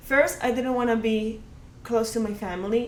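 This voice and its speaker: Audible room echo surrounds a woman's voice. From Colombia. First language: Spanish. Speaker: podcast guest. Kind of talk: casual chat. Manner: halting, many fillers.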